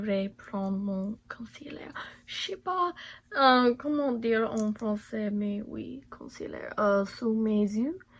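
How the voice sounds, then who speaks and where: Very slowly, a woman talks in a strong English accent. Her pitch sits fairly high and varies in an ordinary way. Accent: non-native French, strong English. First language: English (speaking French). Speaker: beauty vlogger. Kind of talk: makeup tutorial. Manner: halting, many hesitations.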